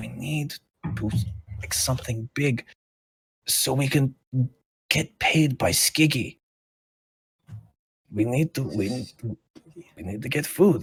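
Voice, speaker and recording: This is a put-on character voice, raspy in texture. It moves at a fairly slow pace with long, frequent pauses. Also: man, medium pitch for a man. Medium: actual play. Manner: anxious, stammering.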